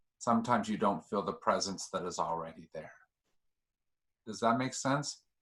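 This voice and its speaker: The speech moves at a moderate pace, broken by long, frequent pauses. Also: man, medium pitch for a man, ordinary pitch variation. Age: 60s. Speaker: discussion group leader. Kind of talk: group discussion.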